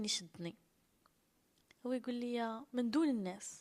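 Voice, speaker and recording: With an unremarkable speaking voice, a woman talks at a moderate pace, her fairly high pitch showing ordinary pitch variation. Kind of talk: personal storytelling to camera.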